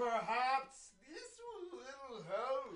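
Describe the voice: A put-on character voice is pitched high.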